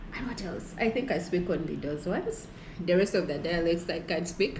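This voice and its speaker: The woman's voice is fairly low-pitched and moves at a moderate pace. Audible room echo and noticeable background noise are present. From Uganda, Busoga region. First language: Lusoga. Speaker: fieldwork team member. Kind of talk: casual chat.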